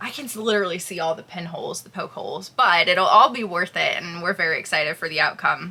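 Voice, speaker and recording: A woman with a fairly low pitch talks at a very fast pace with hardly any pauses, her loudness swinging widely and her pitch varying in an ordinary way over noticeable background noise. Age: 20s. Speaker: YouTuber vlogging with her partner. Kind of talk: casual Q&A chat.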